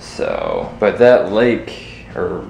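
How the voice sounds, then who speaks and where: Speaking with an American accent, a man is heard with audible room echo and light background noise. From Kentucky, Winchester; Kentucky. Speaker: vlogger; daily vlogger. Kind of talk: casual vlog monologue. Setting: outdoors. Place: home room. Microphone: phone near.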